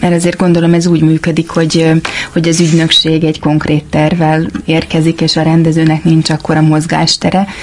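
Against noticeable background noise, a woman with a fairly low pitch speaks in a monotone, flat intonation at very even loudness. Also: moderate pace. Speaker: podcast co-host. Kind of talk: casual interview.

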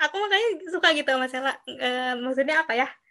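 Speaking very fast in a raised, projected voice, a woman with a high pitch and a bright, sharp tone uses ordinary pitch variation on a very clean recording with a silent background. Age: 20s. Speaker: student organization PR member, podcast host. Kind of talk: casual chat.

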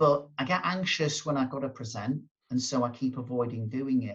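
His pitch varies in an ordinary way, and the man's voice carries some breathiness. He keeps a moderate pace. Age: 50s. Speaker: motivational speaker and coach. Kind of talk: interview.

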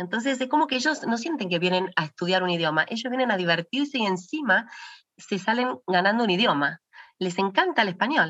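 At a fairly quick pace, a woman with a medium pitch speaks with very wide pitch swings. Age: 40s. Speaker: founder of children's language program. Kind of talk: interview conversation.

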